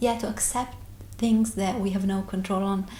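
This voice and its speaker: Over noticeable background noise and audible room echo, a woman with a non-native accent speaks at a medium pitch with fairly even intonation. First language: not English. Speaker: therapy client. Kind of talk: interview about personal experience. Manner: halting.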